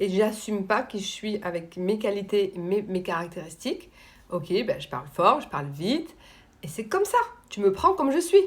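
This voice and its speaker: A woman talks loudly at a fairly high pitch, her voice swinging very widely up and down. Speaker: coach on emotional dependence. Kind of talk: live stream talk answering viewers.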